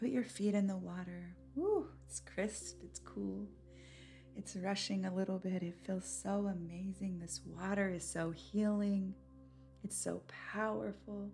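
Music plays in the background as a woman speaks at a fairly slow pace in a gentle, calm tone. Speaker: podcast host and spiritual coach. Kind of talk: guided meditation. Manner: slow, calm, soothing, with paced breathing cues; gentle, intimate, and encouraging.

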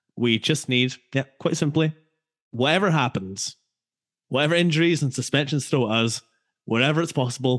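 A man with a Scottish accent speaks in a relaxed tone at a fairly high pitch and a moderate pace, with ordinary pitch variation. Long, frequent pauses break up his speech, and the sound is dry and close with no echo. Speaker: podcast co-host. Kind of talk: casual football podcast chat. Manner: jokey, relaxed.

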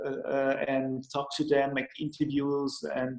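A man with a German accent speaks in a monotone, flat intonation. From Austria, Lech (Vorarlberg). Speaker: magazine founder. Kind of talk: casual chat. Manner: halting.

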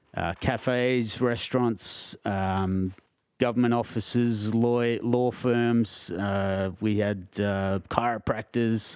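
Speaking very slowly with an Australian accent, a man keeps his fairly low pitch fairly even on a very clean recording with a silent background. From Australia, Canberra. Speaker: bonsai collection curator. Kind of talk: casual interview. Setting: in person, Canberra.

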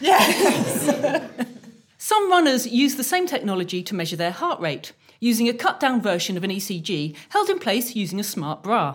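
A woman with a British accent talks at a moderate pace, her fairly high pitch swinging very widely. Noticeable background noise runs beneath her. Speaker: inventor and comedy podcast co-host. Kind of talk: live comedy show with sketches. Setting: stage with audience. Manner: animated.

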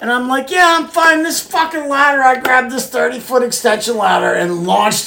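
A woman speaks high in pitch with very wide pitch swings and hardly any pauses. Noticeable background noise is present. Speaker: podcast host. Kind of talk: casual banter podcast. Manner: joking, playful.

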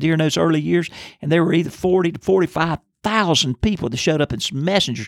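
A man with a plain, everyday voice and an American accent speaks at a fairly high pitch with lively intonation, the sound dry and close with no echo on a very clean recording with a silent background. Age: 60s. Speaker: pastor. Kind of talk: Bible teaching podcast.

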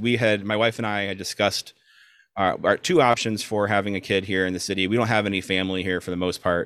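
A man with a fairly low pitch and an American accent, a bright, sharp tone, fairly even intonation, on a very clean recording with a silent background. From South Florida. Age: 40s. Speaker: podcast co-host. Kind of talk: casual chat.

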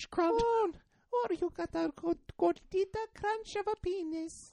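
Putting on a character voice, a woman speaks at an extremely high pitch. Her pace is very slow.

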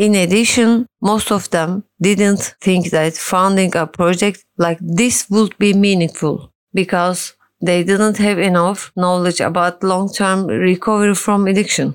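A woman speaks with a Turkish accent at a fairly slow pace, barely pausing. Her loudness stays very even and her intonation fairly even. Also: medium pitch for a woman. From Turkey. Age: 40s. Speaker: social worker and addiction consultant in recovery. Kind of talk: testimony.

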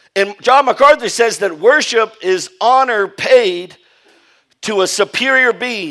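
A man speaks in a raised, projected voice with an animated, bright, sharp tone. His pace is fairly slow, and his pitch varies an ordinary amount. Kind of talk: sermon. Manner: animated call-and-response preaching, repeating phrases and prompting "Amen"; emphatic, rising-intensity delivery urging the congregation to stand.

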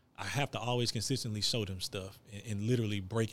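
On a very clean recording with a silent background, a man with a fairly low pitch talks at a fairly quick pace with fairly even intonation. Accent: American. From Texas, Gulf Coast (Hitchcock). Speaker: basketball coach, former college player. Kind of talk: casual interview.

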